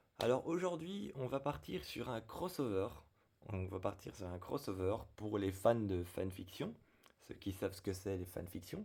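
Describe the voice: A man's hoarse, put-on character voice, fairly low in pitch, with lively intonation at a moderate pace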